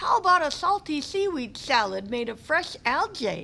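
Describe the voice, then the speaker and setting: A woman uses a put-on character voice, pitched high with very wide swings, at a moderate pace. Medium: read story.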